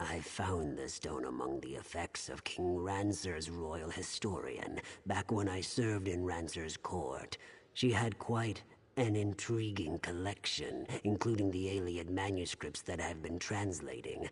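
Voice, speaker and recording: A put-on character voice at a fairly slow pace. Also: man, very deep, low pitch for a man. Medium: video game. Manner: smooth, insinuating.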